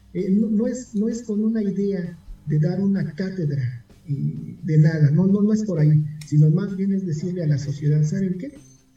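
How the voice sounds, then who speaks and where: Noticeable background noise and audible room echo surround a man's high voice. He speaks at a moderate pace with ordinary pitch variation. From Mexico City. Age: 40s. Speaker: rock music documentarian. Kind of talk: interview.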